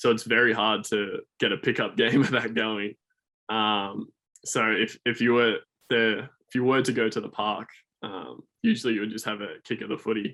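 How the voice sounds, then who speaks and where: A man's medium-pitched voice in an Australian accent, monotone and flat in intonation. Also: moderate pace. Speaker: student athlete. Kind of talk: podcast interview.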